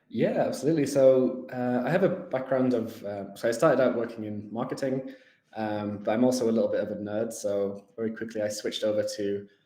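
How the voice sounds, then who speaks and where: Audible room echo accompanies a man speaking in a medium pitch. He talks at a fairly quick pace with ordinary pitch variation. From northern England. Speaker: tech company executive. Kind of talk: interview. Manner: hesitant, many fillers.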